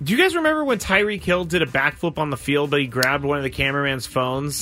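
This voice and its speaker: With an unremarkable speaking voice, a man talks at a fairly quick pace in a fairly high pitch. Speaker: radio host. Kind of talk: game show host. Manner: brisk, upbeat, explaining rules.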